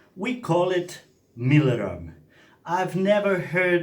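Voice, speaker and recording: This man speaks at a very slow pace with lively intonation. His voice is somewhat breathy. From Serbia, Banat region. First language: Serbian. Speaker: cooking vlogger. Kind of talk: cooking tutorial. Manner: animated.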